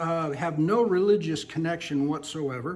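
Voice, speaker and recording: A high-pitched man's voice with lively intonation and audible room echo. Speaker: Bible teacher. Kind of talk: Bible study lecture.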